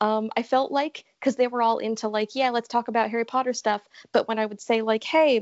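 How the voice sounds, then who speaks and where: A woman's fairly high, normal speaking voice with an American accent, at a moderate pace. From Connecticut. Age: 20s. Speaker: college student, podcast guest. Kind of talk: casual interview.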